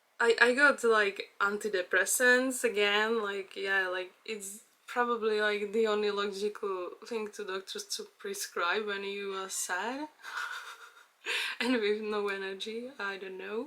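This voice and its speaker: Speaking at a fairly slow pace with a Czech accent, a woman's medium-pitched voice carries a bright, sharp tone, fairly even intonation and big swings in loudness. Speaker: vlogger. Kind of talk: personal vlog monologue. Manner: halting, many fillers.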